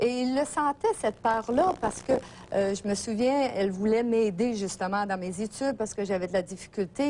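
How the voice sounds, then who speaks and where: This woman's dark, mellow tone carries ordinary pitch variation at a fairly quick pace. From Gaspésie, Quebec. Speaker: therapy client sharing experience. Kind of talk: testimony. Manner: halting, many hesitations.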